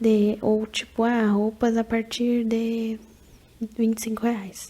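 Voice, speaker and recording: A soft-spoken woman talks at a very slow pace in a relaxed tone with monotone, flat intonation. Noticeable background noise runs behind her. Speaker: ASMR creator. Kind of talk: casual advice talk to camera, ASMR. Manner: soft-spoken, relaxed.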